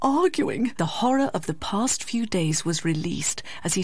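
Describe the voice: This is plain reading aloud, delivered with lively intonation.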